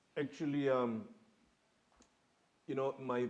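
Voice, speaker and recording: A man with a Spanish accent talks at a fairly slow pace. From Mexico (Guadalajara), moved to Chicago as a child. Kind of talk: panel discussion, personal story. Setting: museum theater panel with audience.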